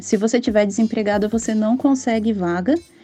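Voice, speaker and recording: A woman talks in a fairly high voice while music plays behind her. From Brazil. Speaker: guest, mother on maternity leave. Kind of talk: interview testimony.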